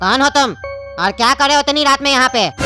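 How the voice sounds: A cartoonish character voice rattles along at a very fast pace with clear music in the background.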